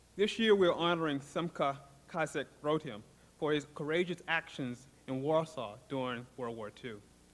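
A man talks in a plain, everyday voice. His pitch is fairly high and his pace moderate. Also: ordinary pitch variation. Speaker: university dean. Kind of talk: ceremonial speech. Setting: stage with audience. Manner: formal.

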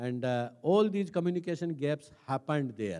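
Against a quiet background, a man speaks in a dark, mellow tone at a fairly high pitch. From India, Rajasthan village. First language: Hindi. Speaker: senior civil servant; speaker. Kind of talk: talk; public talk, personal story. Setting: stage with audience. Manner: hesitant, frequent fillers. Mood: calm reflective storytelling. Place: stage. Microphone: handheld.

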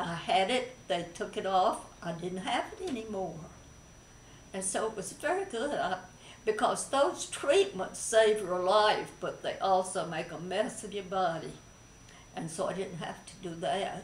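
Amid light background noise and audible room echo, a woman speaks at a fairly slow pace with ordinary pitch variation and big swings in loudness. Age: 80s+. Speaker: breast cancer survivor. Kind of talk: interview answer. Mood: calm, positive, reflective. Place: home room. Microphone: camera far.

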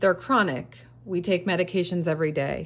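Her pitch rises and falls about as much as in everyday talk. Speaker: craft seller, budgeting creator. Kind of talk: casual vlog chat. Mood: earnest, sympathetic. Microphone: phone near.

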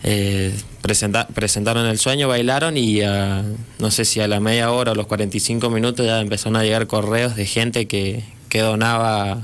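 A man's flat, monotone delivery at very even loudness. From Mendoza, Argentina. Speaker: charity volunteer. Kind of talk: radio interview. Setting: studio. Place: studio. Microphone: studio mic.

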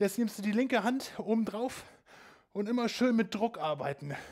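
Over a quiet background, a high-pitched man speaks at a fairly slow pace with ordinary pitch variation. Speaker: fitness instructor. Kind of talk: workout instruction. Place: home room.

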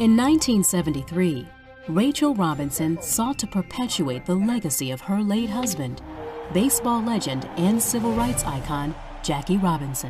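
A woman at medium pitch and moderate pace, with very wide pitch swings and music in the background. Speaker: voice actor. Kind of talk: corporate narration.

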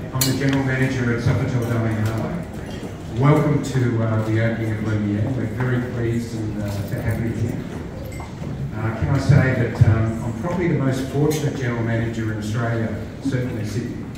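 A man talks at a fairly quick pace over loud background noise, with audible room echo. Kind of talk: opening speech. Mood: warm, grateful. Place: bar.

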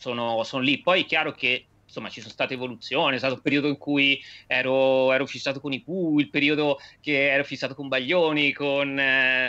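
The tone is bright and sharp, the intonation monotone and flat. Delivery moves at a fairly quick pace. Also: man, fairly high pitch for a man. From Tuscany, Viareggio; Tuscany. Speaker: singer-songwriter and teacher; teacher. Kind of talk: interview. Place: home room. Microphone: video call.

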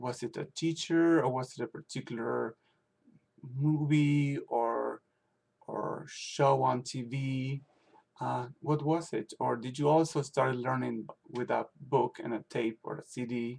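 A man speaks at a very slow pace. His intonation stays fairly even. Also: medium pitch for a man. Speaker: language teacher. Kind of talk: video blog monologue. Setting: at home. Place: home room. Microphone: webcam.

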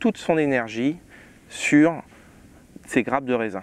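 Medium pitch and ordinary pitch variation from a man, in a dry sound with no echo. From France, Champagne region (Marne); Champagne, France. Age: 30s. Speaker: winemaker. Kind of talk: tutorial. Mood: calm, informative. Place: farm machine. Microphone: lapel.

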